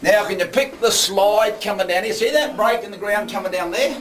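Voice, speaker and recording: Over noticeable background noise, a man with a strong Australian accent talks at a fairly quick pace in a high pitch with lively intonation. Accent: broad Australian. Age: old. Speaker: opal miner and underground tour guide. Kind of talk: guided tour talk. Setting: underground mine. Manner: talkative.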